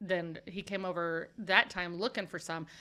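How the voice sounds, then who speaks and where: With a Midwestern American accent, a woman speaks in a fairly low pitch on a very clean recording with a silent background. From Kansas City area, Missouri. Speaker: ministry founder sharing redemption story. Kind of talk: testimony. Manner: loud; animated.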